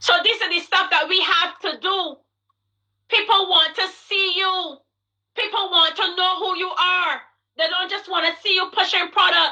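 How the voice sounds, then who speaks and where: A woman's raised, projected voice, extremely high in pitch and bright, sharp in tone, at a moderate pace with long, frequent pauses. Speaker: network marketing coach. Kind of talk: motivational coaching talk on a livestream. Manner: loud; animated.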